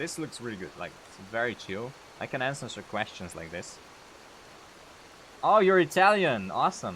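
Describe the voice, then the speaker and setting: A man with a Slovene accent speaks with very wide pitch swings, big swings in loudness, and long, frequent pauses. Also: medium pitch for a man, moderate pace. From Slovenia. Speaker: gaming streamer and modder. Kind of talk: live stream Q&A, casual chat. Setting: live stream reading chat. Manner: hesitant, many fillers.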